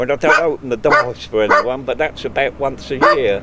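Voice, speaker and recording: Noticeable background noise around a man's moderately paced speech. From England (Kent). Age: 70s. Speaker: traveller with a horse. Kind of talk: interview answer. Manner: humorous.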